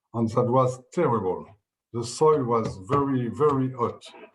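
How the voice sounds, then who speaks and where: Fairly slow speech in a French accent with ordinary pitch variation. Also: man. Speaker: winemaker. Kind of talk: interview. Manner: halting.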